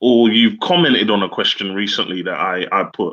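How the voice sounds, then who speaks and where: Against a quiet background, a man with a southern English accent speaks at a moderate pace. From southern England, Slough; southern England. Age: 30s. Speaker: serviced accommodation entrepreneur; guest. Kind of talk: interview. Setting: video call. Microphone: video call.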